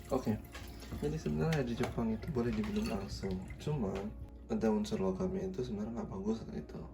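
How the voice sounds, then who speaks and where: With music in the background and audible room echo, a man talks at a very fast pace. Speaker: vlogger. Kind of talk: casual vlog. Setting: apartment in the morning.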